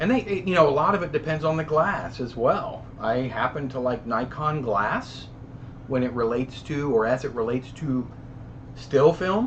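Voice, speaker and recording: A man with a fairly high pitch. His intonation is lively. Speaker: live stream host, film camera collector. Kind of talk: casual live stream chat reading comments. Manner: fast.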